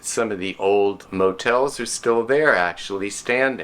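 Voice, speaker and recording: On a very clean recording with a silent background, a man with an American accent has a fairly low pitch, a bright, sharp tone and ordinary pitch variation. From South Florida. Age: 60s. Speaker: local resident sharing memories. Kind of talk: personal reminiscence.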